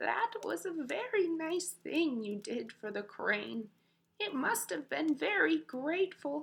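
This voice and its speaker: A put-on character voice, high in pitch, at a fairly slow pace. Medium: read story. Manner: warm, motherly.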